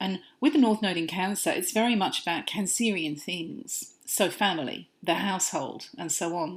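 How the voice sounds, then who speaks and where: On a very clean recording with a silent background, a woman at a medium pitch speaks at a moderate pace with very wide pitch swings. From Britain and Australia. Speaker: astrologer. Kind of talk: podcast monologue.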